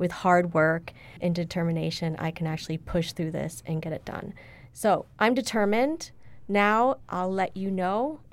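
A woman in an ordinary speaking voice, with ordinary pitch variation and a moderate pace. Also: medium pitch for a woman, very clean recording, silent background. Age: 40s. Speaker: university diversity director and PhD candidate. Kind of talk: casual interview.

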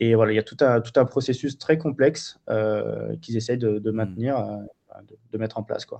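A man talks at a moderate tempo with a medium pitch and fairly even intonation, using an unremarkable speaking voice. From Marseille, southern France. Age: 30s. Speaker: wildlife photographer and filmmaker. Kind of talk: interview. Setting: remote call.

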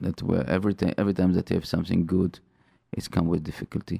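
With a non-native accent, the speaker has a dark, mellow tone and ordinary pitch variation, recorded dry and close with no echo. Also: man. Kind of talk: religious talk radio monologue. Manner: halting, with frequent fillers and repetitions.

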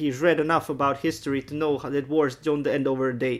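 A man with a Bosnian accent talks at a fairly quick pace. His voice sits fairly high in pitch. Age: 30s. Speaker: Danish teacher and rapper. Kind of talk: interview testimony. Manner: halting.

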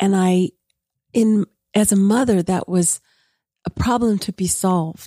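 In a very clean recording with a silent background and a dry, close sound with no echo, a woman speaks at a fairly slow pace with a dark, mellow tone, medium pitch and fairly even intonation. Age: 60s. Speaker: counselor. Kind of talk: casual panel discussion.

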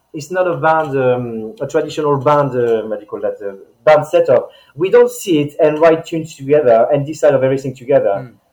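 With hardly any pauses, a man with a strong non-native accent talks at a fairly high pitch, showing ordinary pitch variation and big swings in loudness. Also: fairly quick pace. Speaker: band leader and guitarist. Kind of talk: casual interview chat.

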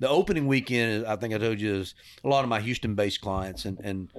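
A man with a Texan accent speaks at a medium pitch. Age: 60s. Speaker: hunting lodge owner. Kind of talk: casual chat.

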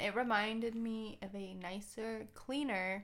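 Woman with an American accent and a fairly high pitch, plus audible room echo. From Arizona, Tucson. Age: 20s. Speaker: law student. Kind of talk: casual chat.

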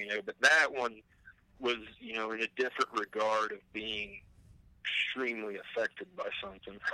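The sound is dry and close with no echo as a man speaks at a moderate pace. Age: 40s. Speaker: musician who made the show's theme song. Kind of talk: casual chat.

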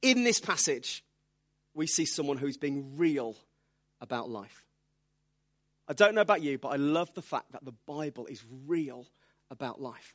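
A man with a Birmingham accent speaks at a moderate pace with long, frequent pauses. His loudness swings widely in a very clean recording with a silent background. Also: fairly high pitch for a man, lively intonation. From England, Birmingham. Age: 30s. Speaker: preacher. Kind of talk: sermon. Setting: church.

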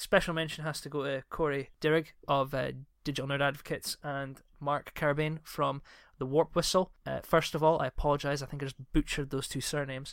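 On a very clean recording with a silent background, a man with a Scottish accent talks at a fairly quick pace and fairly high pitch. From Scotland. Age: 30s. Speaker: podcast host. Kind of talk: casual chat.

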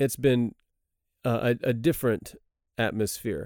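A man speaks at a moderate pace with a medium pitch and a dark, mellow tone. The recording is very clean, with a silent background and a dry, close sound free of echo. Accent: Texan. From Texas. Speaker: missionary. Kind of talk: Bible study discussion. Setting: studio.

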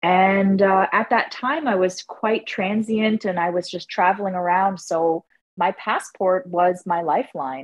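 With a normal speaking voice, a woman at medium pitch talks at a fairly slow pace with hardly any pauses and ordinary pitch variation. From Canada. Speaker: stand-up comedian. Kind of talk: interview.

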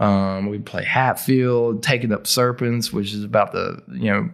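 Speaking with an Appalachian accent, a man talks fairly slowly at a medium pitch with ordinary pitch variation. The recording is very clean, with a silent background. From West Virginia. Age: 40s. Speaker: heavy metal vocalist and band founder. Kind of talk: casual interview conversation. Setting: studio.

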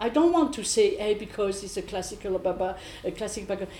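With a French accent, a woman speaks with very wide pitch swings. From France, south. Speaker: improvising musician, bassist. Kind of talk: panel discussion. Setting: stage with audience.

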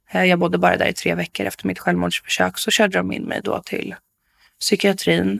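In a very clean recording with a silent background and a dry, close sound without echo, a woman talks at a fairly quick pace. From Stockholm area, Sweden. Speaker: support worker, former offender. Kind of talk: interview testimony. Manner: energetic.

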